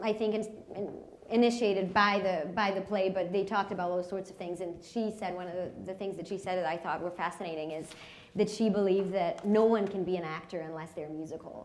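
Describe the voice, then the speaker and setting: Speaking at a very fast pace, a woman with a medium-pitched voice keeps her intonation fairly even, with audible room echo and noticeable background noise. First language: not English. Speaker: actor. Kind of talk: post-show panel discussion. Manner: halting, many fillers.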